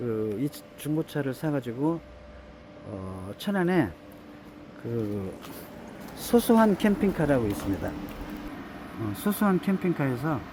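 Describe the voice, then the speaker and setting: At a very slow pace with long, frequent pauses, a man speaks at a fairly high pitch with very wide pitch swings. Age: 70s. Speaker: travel vlogger. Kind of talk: vlog walkthrough. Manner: halting, many fillers.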